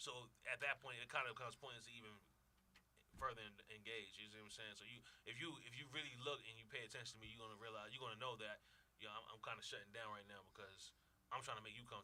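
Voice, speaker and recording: Talking very fast, a man with an American accent has a medium pitch and a bright, sharp tone. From New York, Brooklyn. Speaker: radio show guest. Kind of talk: casual chat. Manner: excited, comes off as yelling.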